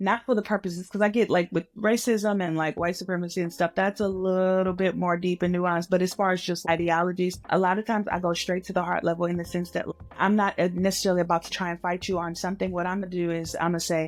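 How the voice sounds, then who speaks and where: A woman at medium pitch, very fast pace, monotone and flat intonation, hardly any pauses. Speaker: podcast co-host. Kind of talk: casual chat.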